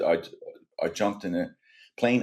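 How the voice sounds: A man talks at a moderate pace with ordinary pitch variation. His tone is slightly mellow.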